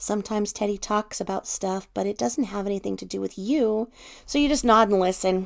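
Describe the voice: Someone does plain reading aloud. Nothing more is added to it.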